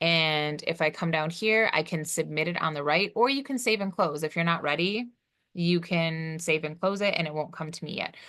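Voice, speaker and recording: Over a quiet background, a woman with a fairly low pitch speaks with ordinary pitch variation. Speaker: college instructor. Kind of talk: recorded course tutorial. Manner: fast; casual, with fillers.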